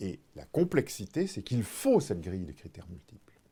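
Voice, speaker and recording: A man's somewhat breathy, dark, mellow voice at medium pitch, with very wide pitch swings. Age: 60s. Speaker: retired insurance executive. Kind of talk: interview. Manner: hesitant, frequent fillers.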